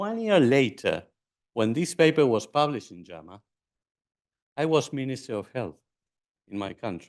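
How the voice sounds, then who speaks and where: Speaking with an Argentine accent at a moderate pace, a man uses a medium pitch with very wide pitch swings, big swings in loudness and long, frequent pauses against a quiet background. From Argentina. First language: Spanish. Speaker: physician and former health minister. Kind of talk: conference lecture. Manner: halting.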